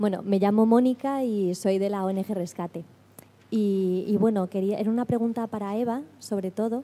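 At a moderate pace, a woman speaks with medium pitch, fairly even intonation and a dark, mellow tone. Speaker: lawyer at an NGO, audience member asking a question; lawyer at an NGO, audience member. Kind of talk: audience question at a seminar. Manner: soft-spoken. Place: hall.

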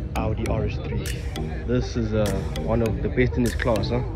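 A man speaks at a very slow pace. The sound is dry with no echo, and music plays in the background. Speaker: car show visitor vlogger. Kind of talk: casual vlog chat. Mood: excited, admiring. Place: open country. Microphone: phone near.

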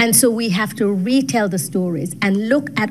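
Over faint background music, a woman talks at a fairly slow pace with lively intonation. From Jamaica. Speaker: gender studies professor. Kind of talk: panel discussion. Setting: video call. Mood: earnest, persuasive. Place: meeting room. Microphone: studio mic.

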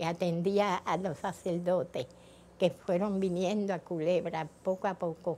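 A woman with a fairly low pitch talks at a fairly slow pace in a dark, mellow tone, her intonation monotone and flat. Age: 80s+. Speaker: net weaver and poet. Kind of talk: interview answer.

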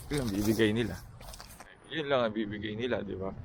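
The speech moves at a fairly quick pace with fairly even intonation, with audible room echo and noticeable background noise. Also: man. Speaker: vlogger, engineer job seeker. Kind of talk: casual vlog talk. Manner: halting, many fillers.

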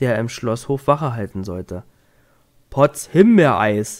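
The speaker is a man with a medium pitch. He takes a fairly slow pace. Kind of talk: bedtime story reading aloud. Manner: gentle, soothing, slow storytelling pace.

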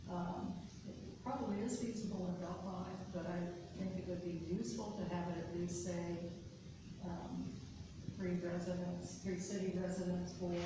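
A woman talks with long, frequent pauses over noticeable background noise, her voice carrying a strong room echo. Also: moderate pace. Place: meeting room. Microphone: camera far.

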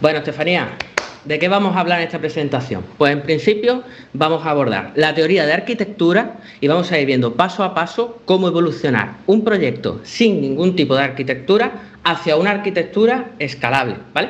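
A man's high-pitched voice with a Spanish accent, lively intonation and a fairly quick pace. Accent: Spanish (Spain). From Spain, Málaga; Spain. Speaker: computer science teacher and developer; computer science teacher. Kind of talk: conference talk. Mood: relaxed, humorous. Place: home room. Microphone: headset.

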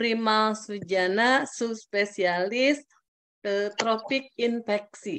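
A woman's fairly high voice at a very slow pace, with ordinary pitch variation over light background noise. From Indonesia. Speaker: webinar moderator. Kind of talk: formal moderation. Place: home room. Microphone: video call.

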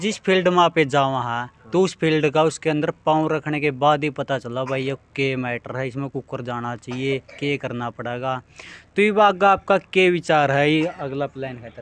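A man speaks at a fairly slow pace with hardly any pauses, using a fairly high pitch and ordinary pitch variation, in a dry sound with no echo. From Haryana, India. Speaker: local news reporter. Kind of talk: field interview. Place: home room. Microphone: handheld.

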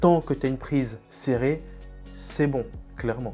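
A man talks with faint music in the background. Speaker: fitness coach. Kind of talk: tutorial. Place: home room. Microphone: lapel.

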